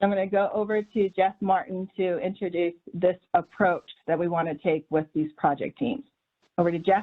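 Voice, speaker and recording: A woman talks in a plain, everyday voice at medium pitch. Her pace is moderate, with ordinary pitch variation. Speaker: program organizer. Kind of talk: presentation.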